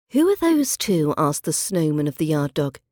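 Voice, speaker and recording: A woman's fairly low, dark and mellow voice at a moderate pace with ordinary pitch variation, in a dry, close sound with no echo on a very clean recording with a silent background. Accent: British. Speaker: podcast host and accent teacher. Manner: measured, storyteller-like narration with clear, careful pronunciation; clear, careful, teacherly pace.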